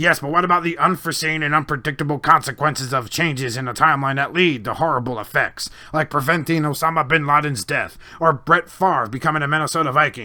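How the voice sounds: In a put-on character voice, a man rattles along at a very fast pace with hardly any pauses. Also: fairly high pitch for a man.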